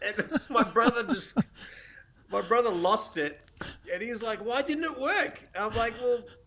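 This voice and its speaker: Amid noticeable background noise, a man with an Australian accent projects a raised voice at an extremely high pitch, speaking fairly slowly with lively intonation and long, frequent pauses. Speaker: photographer and educator. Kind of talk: casual interview chat. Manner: animated.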